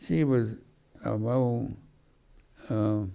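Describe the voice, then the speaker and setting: Speaking at a very slow pace in an Alabama accent, a man has a medium-pitched voice with a dark, mellow tone. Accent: Southern US (Alabama). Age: 80s+. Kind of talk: local history reminiscence to an audience. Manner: rambling, halting.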